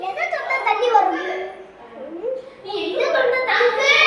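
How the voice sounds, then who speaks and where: An extremely high-pitched, put-on character voice is heard. It moves at a very slow pace. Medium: short film. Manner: literal, naive.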